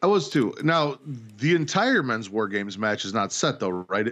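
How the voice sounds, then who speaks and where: Over a quiet background, a man talks at a moderate pace with very wide pitch swings. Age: 30s. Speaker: podcast host, wrestling fan. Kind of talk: casual chat.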